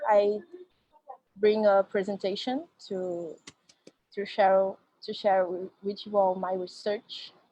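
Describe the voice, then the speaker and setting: The speaker has a Brazilian Portuguese accent. The pace is very slow. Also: woman. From Brazil, Rio de Janeiro. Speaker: activist and researcher. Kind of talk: academic presentation.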